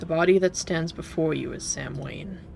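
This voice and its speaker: This put-on character voice sounds raspy and moves at a moderate pace over clear background noise. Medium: game stream. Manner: detached, cryptic.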